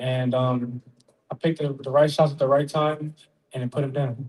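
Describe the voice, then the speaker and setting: A man with an American accent speaks at a fairly quick pace and a fairly high pitch. His voice is somewhat breathy, his intonation monotone and flat. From Oakland, California, US. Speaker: professional boxer. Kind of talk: press conference. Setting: press conference. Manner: soft-spoken.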